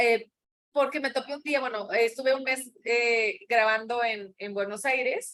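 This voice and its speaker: Her pace fairly slow, a woman speaks at a fairly high pitch with fairly even intonation. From Sonora, northern Mexico. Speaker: actress. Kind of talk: interview chat.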